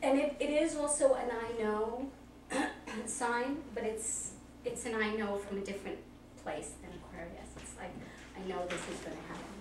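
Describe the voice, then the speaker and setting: Amid noticeable background noise and audible room echo, a woman with a fairly high pitch and lively intonation speaks at a moderate pace, with long, frequent pauses and big swings in loudness. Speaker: party guest interviewed about zodiac sign. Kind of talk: casual interview. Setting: party. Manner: halting; emotional, voice cracks when speaking publicly.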